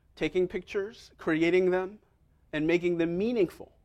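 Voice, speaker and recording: A man with an American accent talks at a moderate pace in a high pitch, with ordinary pitch variation. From New York City, Manhattan. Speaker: pastor. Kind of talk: sermon. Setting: church with congregation.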